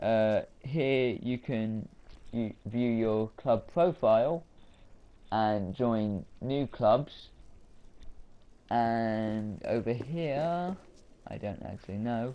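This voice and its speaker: Mumbling at a very slow pace, a man leaves long, frequent pauses. His voice has a medium pitch and a dark, mellow tone. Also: ordinary pitch variation. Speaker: gaming YouTuber. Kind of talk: gameplay commentary.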